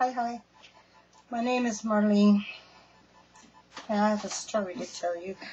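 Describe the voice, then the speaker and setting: A woman with a fairly high pitch speaks with fairly even intonation and long, frequent pauses. Noticeable background noise runs behind her. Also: moderate pace. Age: 60s. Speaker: storyteller sharing personal experience. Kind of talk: personal testimony. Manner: casual, halting.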